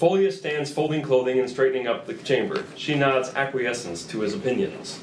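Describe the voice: A man at a medium pitch, with audible room echo. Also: ordinary pitch variation, moderate pace.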